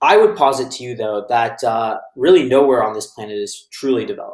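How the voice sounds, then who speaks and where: An American accent, a fairly quick pace, ordinary pitch variation and a normal speaking voice. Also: man. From United States. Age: 20s. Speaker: author and panelist. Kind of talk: panel discussion opening remarks.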